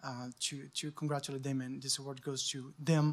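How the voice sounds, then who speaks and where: In a very clean recording with a silent background, a man with a French accent speaks at a moderate pace, his fairly high pitch held in a monotone, flat intonation. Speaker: journalist, award winner. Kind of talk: acceptance speech. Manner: halting.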